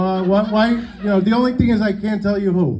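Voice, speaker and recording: Amid noticeable background noise and audible room echo, a man with a New York accent speaks at a moderate pace with ordinary pitch variation. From New York City, Sicilian family. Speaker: stand-up comedian. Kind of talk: stand-up. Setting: stage with audience. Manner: animated.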